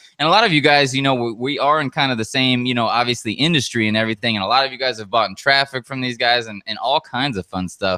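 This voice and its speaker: Loud and very fast, a man speaks at medium pitch with ordinary pitch variation and an animated, energetic, bright, sharp tone. The sound is dry and close with no echo. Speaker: webinar host and online marketer. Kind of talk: live webinar sales pitch. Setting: live online broadcast.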